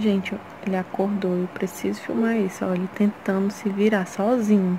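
A woman at a moderate pace, fairly even intonation, noticeable background noise behind her. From Ceará, Brazil. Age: 20s. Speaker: mother vlogger. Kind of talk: casual vlog talk to camera. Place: home room. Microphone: phone near.

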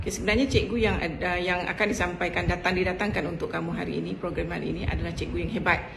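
A woman at a fairly quick pace over noticeable background noise. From Malaysia. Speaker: school principal. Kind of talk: welcome speech. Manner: formal. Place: home room. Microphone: video call.

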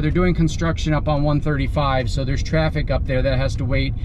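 Noticeable background noise surrounds a man's voice. He talks at a moderate pace. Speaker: campsite reviewer driving. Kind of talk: tour narration. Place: car. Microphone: phone near.

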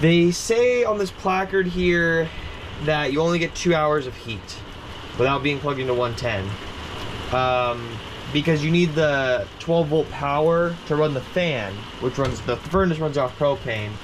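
Noticeable background noise sits behind a man speaking fairly slowly. His intonation is lively. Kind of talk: casual review walk-through. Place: home room. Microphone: phone near.

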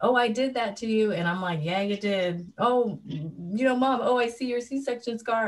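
A woman speaks at a moderate pace in a somewhat breathy voice with very wide pitch swings. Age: 30s. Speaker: artist, mother; panelist. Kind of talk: panel discussion. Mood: warm, reflective. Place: home room. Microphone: video call.

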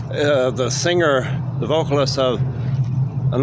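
Through loud background noise, a man talks at a fairly slow pace, the sound dry with no echo. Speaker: vlogger. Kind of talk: casual vlog chat. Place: street. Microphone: phone near.

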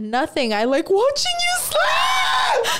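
A put-on character voice speaks at a very slow pace in a high pitch. Loud background noise runs underneath. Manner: creepy, ominous, menacing calm.

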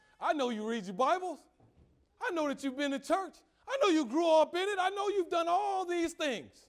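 Over a quiet background, a man with an extremely high pitch speaks at a moderate pace in an animated, energetic tone with lively intonation. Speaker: preacher. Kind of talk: sermon. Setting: church. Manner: animated, call-and-response preaching with rhetorical questions and exclamations; conversational, humorous, and energetic. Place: church.

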